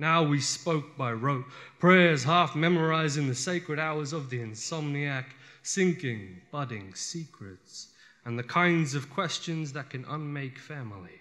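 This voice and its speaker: A man's fairly high voice with a bright, sharp tone, ordinary pitch variation and a fairly slow pace. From Western Sydney, Australia. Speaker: poet. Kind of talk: live spoken word poetry performance. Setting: live venue.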